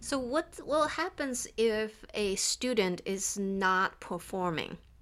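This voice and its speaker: A woman's lively intonation carries through her very slow delivery. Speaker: engineering professor and podcast co-host. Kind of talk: casual panel discussion.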